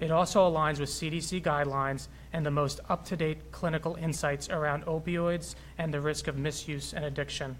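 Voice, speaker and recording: A man with an American accent and a fairly high pitch speaks at a fairly quick pace in a somewhat breathy, monotone, flat delivery, with audible room echo. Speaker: physician, health executive. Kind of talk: prepared speech. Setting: city hall with audience.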